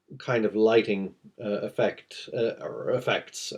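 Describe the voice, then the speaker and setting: A man mumbling at a fairly slow pace. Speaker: comic artist. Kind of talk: tutorial. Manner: halting.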